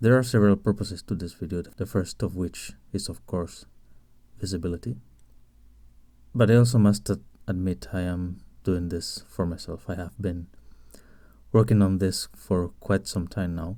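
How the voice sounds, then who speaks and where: A man with a Spanish accent speaks at a very deep, low pitch in a dark, mellow tone. His intonation is fairly even, with long, frequent pauses. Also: moderate pace. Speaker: indie game developer. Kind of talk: tutorial. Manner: halting.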